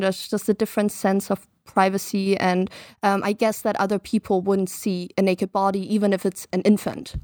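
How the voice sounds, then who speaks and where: A woman with a German accent speaks at a fairly quick pace and medium pitch, monotone and flat in intonation with very even loudness, on a very clean, dry, close recording with no echo and a silent background. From Germany, eastern Baltic coast; raised partly in the US. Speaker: podcast guest. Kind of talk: casual chat.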